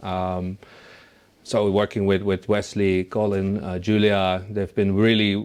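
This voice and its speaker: A man talks at a moderate pace with a Dutch accent. His fairly low voice comes over a quiet background. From Netherlands. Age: 30s. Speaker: music producer. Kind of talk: interview. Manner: halting, many fillers.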